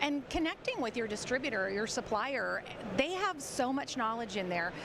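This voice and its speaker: Her high-pitched voice moves in very wide pitch swings. The woman is heard with audible room echo and noticeable background noise. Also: moderate pace. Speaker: credit and collections expert, author and speaker. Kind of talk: casual interview. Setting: sound stage at a trade show.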